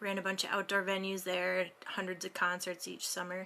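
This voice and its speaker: A woman's bright, sharp voice with an American accent. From Minnesota. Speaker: live sound engineer and tour manager. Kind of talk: self-introduction in online meetup.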